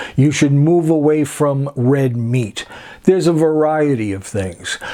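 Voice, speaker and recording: At a fairly slow pace, a man talks with a fairly high pitch and ordinary pitch variation. He uses an ordinary speaking voice. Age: 60s. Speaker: personal trainer. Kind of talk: casual talk to camera.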